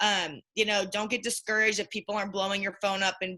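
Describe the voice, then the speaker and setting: A woman speaks at a very fast pace. Her medium-pitched voice has a bright, sharp tone. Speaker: direct sales consultant. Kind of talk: group call presentation. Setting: group call. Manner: animated.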